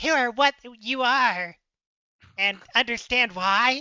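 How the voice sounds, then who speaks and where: Using a put-on character voice, a woman speaks at a high pitch. Her pace is fairly slow. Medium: actual play. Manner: playful, cooing.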